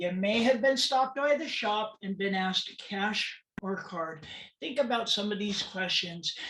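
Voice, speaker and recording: A woman talks fairly slowly, her intonation lively, with noticeable background noise in the recording. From California, US. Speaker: transgender awareness speaker. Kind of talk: presentation talk. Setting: webinar.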